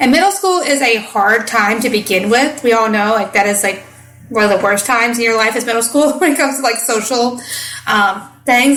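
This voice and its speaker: A woman with a Midwestern US accent talks at a fairly quick pace in a fairly high voice with ordinary pitch variation, with audible room echo and noticeable background noise. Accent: Midwestern US, adopted. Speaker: podcast host, parenting coach. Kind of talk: casual podcast monologue.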